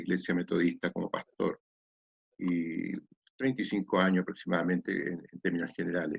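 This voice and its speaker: A man with a very deep, low voice is heard in a dry, close sound with no echo. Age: 60s. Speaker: pastor. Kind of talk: testimony. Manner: hesitant, many fillers.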